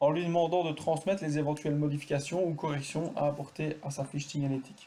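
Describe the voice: There is audible room echo as a man talks at a fairly quick pace in a dark, mellow tone, his pitch fairly high and his intonation fairly even.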